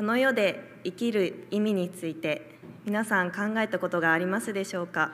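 In an ordinary speaking voice, a woman talks at medium pitch and a moderate pace, her pitch varying in an ordinary way. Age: young. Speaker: church member giving testimony. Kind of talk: testimony.

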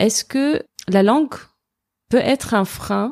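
Dry and close with no echo, this very clean recording with a silent background captures a woman's dark, mellow tone and lively intonation. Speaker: podcast host. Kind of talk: interview.

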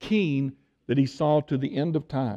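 Speaking at a fairly slow pace, a man with an East Texas accent has a fairly high pitch. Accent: East Texas Southern. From Tyler, Texas. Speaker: visiting preacher. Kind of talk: sermon.

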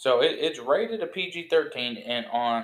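This man talks at a fairly high pitch. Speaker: podcast guest. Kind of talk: casual chat.

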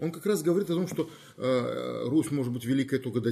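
The voice has a dark, mellow tone and is somewhat breathy. The recording is very clean, with a silent background. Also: man. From Crimea, Feodosia. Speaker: university rector and professor. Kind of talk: interview.

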